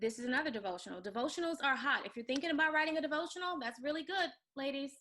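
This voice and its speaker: Bright and sharp in tone, a woman's voice shows ordinary pitch variation. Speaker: online course teacher for women authors. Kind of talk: live webinar tutorial. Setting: live stream with screen share. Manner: fast; animated.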